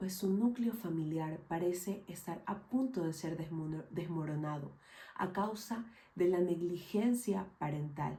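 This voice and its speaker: A woman's somewhat breathy, dark, mellow tone at a fairly low pitch, with ordinary pitch variation, a fairly slow pace and audible room echo. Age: 20s. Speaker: mental health educator. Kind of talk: scripted narration. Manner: formal.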